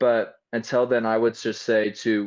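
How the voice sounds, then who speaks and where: A man speaks with a Utah accent. His pitch is medium. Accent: typical Utah. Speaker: film director and actor. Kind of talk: casual podcast interview. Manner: animated, many fillers.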